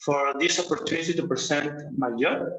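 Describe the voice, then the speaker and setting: Fairly high-pitched male speech in a Mexican accent, with audible room echo. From Mexico. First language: Spanish. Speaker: university professor. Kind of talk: conference presentation. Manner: halting.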